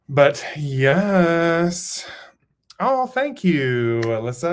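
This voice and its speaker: A man talking in an American accent keeps his pitch variation ordinary. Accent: Southern accent, per viewer. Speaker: writer streaming live writing sprints. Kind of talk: live stream chat with viewers. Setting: home studio, live stream. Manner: animated, chatty.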